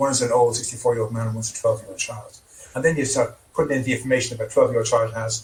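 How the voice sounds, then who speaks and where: A man's very fast speech with monotone, flat intonation. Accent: Irish. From Ireland. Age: 60s. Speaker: trauma therapist. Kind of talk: interview.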